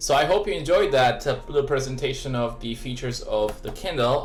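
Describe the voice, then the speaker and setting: Fairly quick speech from a man with a non-native accent, audible room echo, and music in the background. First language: not English. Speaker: tech reviewer. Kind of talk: product review. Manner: halting, many fillers.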